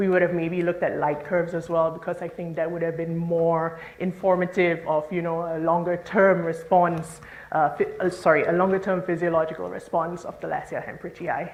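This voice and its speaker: A woman speaks fairly quickly at a fairly low pitch with monotone, flat intonation and hardly any pauses. Audible room echo and noticeable background noise are present. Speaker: marine scientist. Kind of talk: conference talk.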